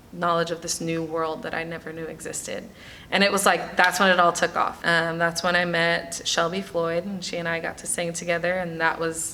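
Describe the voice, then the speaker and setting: Her American accent carries a fairly low pitch and monotone, flat intonation. This woman talks at a fairly quick pace, with big swings in loudness. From New York, the Bronx. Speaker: actress and singer. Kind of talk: interview.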